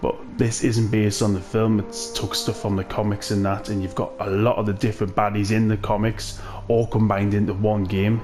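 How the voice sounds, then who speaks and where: With music in the background, the speaker talks at a fairly quick pace in a Geordie accent, using a monotone, flat intonation. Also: man, fairly low pitch for a man. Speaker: gaming YouTuber. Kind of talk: game review commentary. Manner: casual, hesitant with fillers.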